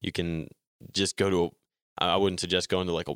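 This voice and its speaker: The speech comes in an American accent with monotone, flat intonation. The sound is dry and close with no echo, on a very clean recording with a silent background. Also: man. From New Jersey, US. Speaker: motorcycle racer. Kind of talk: interview. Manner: many fillers (um, like).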